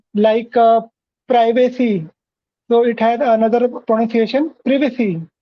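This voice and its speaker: The speaker talks at a fairly slow pace with an Indian accent. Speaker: English learner, interviewer guest. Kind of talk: casual interview chat. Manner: halting, many fillers.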